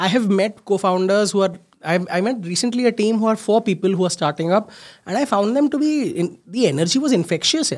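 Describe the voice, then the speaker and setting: A man talks at a very fast pace with a high pitch and lively intonation. The recording is very clean, with a silent background. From India, Mumbai. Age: 30s. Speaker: startup founder and CEO. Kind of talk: interview.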